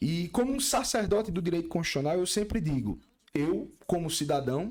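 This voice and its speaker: A man talks at a moderate pace with lively intonation. It is an ordinary speaking voice. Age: 30s. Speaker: lawyer and constitutional law professor. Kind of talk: podcast interview.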